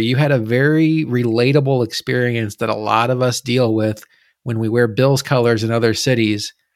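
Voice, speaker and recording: In an American accent, a man with a normal speaking voice at medium pitch uses fairly even intonation on a very clean recording with a silent background. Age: 30s. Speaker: sports podcast host. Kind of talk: casual chat.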